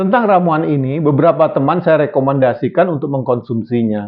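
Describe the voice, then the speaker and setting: At a moderate pace and with lively intonation, a man with a fairly high pitch talks in an ordinary speaking voice. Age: 60s. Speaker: health video presenter. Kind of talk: educational talk. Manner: casual, conversational.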